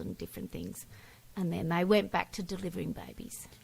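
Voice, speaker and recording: A woman is speaking. She has an Australian accent. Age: 60s. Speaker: teacher. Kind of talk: interview. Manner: brief answers.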